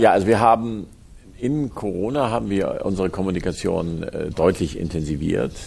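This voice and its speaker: Very deep and low in pitch, a man speaks at a fairly quick pace with lively intonation. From Hamburg, northern Germany. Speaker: company executive. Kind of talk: interview. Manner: halting.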